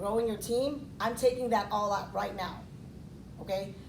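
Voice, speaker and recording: There is audible room echo in this clip. A woman speaks with a fairly high voice. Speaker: financial services agent. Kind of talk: speech. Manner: loud; halting.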